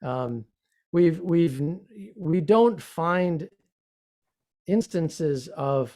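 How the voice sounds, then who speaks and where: A man in an American accent, at a very slow pace with lively intonation. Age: 70s. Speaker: religious teacher. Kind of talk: interview. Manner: hesitant, many fillers.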